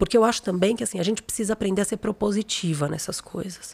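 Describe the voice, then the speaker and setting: Woman's voice at medium pitch, animated tone, fairly quick pace, dry and close sound with no echo. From São Paulo, Brazil. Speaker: creativity consultant, former journalist and art director. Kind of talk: interview conversation.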